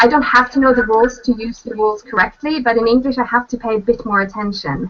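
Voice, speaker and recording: A woman's fairly high voice with a Norwegian accent, at a very fast pace. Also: ordinary pitch variation. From Norway. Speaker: author and translator. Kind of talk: casual chat. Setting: video call.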